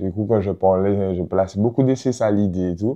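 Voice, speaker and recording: A man speaks in a fairly low pitch with a dark, mellow tone. His pitch variation is ordinary, and the background is quiet. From Martinique (La Trinité). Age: 20s. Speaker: rapper. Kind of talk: interview.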